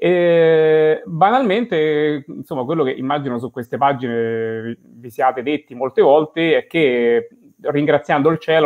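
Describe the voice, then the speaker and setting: In a quiet background, a man with a Roman accent speaks at a fairly high pitch with ordinary pitch variation. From Rome, Italy; Italy. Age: 40s. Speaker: blind bank employee and hiker; guest. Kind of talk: interview. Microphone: video call.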